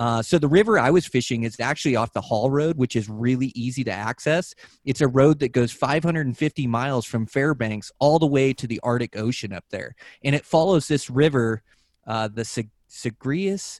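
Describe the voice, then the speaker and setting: With an American accent, a man speaks at a moderate pace in an ordinary speaking voice, medium in pitch with ordinary pitch variation, in a dry, close sound with no echo on a very clean recording with a silent background. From Western Washington. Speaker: podcast host and angler. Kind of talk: casual chat.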